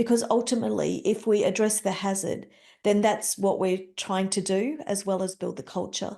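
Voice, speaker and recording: A woman with an Australian accent speaks at medium pitch with a dark, mellow tone and vocal fry. Her intonation is fairly even, her pace moderate, and the background quiet. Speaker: health and safety leader. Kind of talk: interview.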